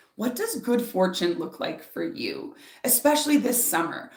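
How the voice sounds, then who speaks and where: Over noticeable background noise and audible room echo, a woman talks at a moderate pace with very wide pitch swings. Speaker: spiritual author and speaker. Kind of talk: live stream oracle reading and guided meditation. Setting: live stream. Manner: animated, loud, talks with hands; softer during meditation.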